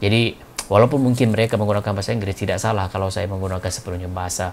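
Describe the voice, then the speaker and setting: Very fast speech from a man with a Malaysian accent, fairly low in pitch, fairly even in intonation, over noticeable background noise. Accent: Malaysian Malay accent speaking Indonesian. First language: Malay (speaking Indonesian). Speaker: YouTube reaction commentator. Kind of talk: casual video commentary. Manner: hesitant, frequent fillers and restarts.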